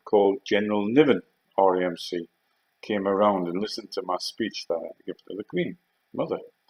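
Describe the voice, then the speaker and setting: A man with a Geordie accent talks at a fairly quick pace, his loudness swinging widely. The sound is dry and close, with no echo. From Northeast England. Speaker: storyteller recalling past.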